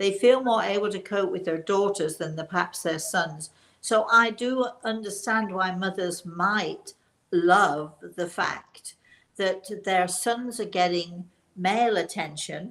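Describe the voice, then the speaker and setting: This woman speaks with a British accent at a fairly slow pace. Her pitch is medium and varies in an ordinary way. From England. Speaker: talk show co-host. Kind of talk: casual chat. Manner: halting.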